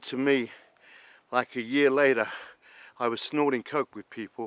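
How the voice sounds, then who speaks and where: Fairly even intonation carries a London accent, recorded with a dry, close sound and no echo. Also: man. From London, England. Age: 60s. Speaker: former traveller and cab business founder. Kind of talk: documentary interview.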